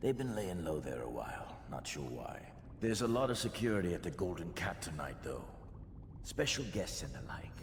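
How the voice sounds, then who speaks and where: A man puts on a gruff character voice with a very deep, low pitch. He talks at a moderate pace over loud background noise. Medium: video game. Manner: gruff, streetwise, slangy.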